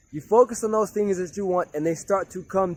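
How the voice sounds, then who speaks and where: The recording is dry and close with no echo. A man with a high-pitched voice speaks in an animated tone. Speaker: motivational speaker. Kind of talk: motivational talk. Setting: outdoors. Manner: loud.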